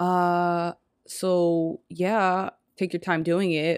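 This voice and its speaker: A woman with a fairly low pitch speaks in a monotone, flat intonation, her dry, close sound free of echo on a very clean recording with a silent background. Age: 20s. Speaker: podcast host. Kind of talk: casual chat.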